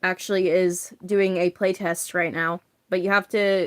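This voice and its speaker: Her voice shaky and medium in pitch, a woman talks at a fairly slow pace in a dry, close recording with no echo. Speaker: livestreamer making therian masks. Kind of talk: casual livestream chat while crafting. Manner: shaky voice.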